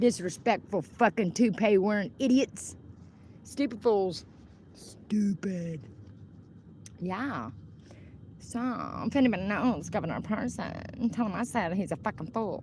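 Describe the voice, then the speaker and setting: A woman with an American accent speaks at a fairly slow pace and medium pitch, leaving long, frequent pauses. Her tone is animated, with lively intonation and vocal fry. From Oklahoma, Wyandotte. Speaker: livestreamer. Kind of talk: casual livestream rant. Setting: outdoors, in shade. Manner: animated, heated.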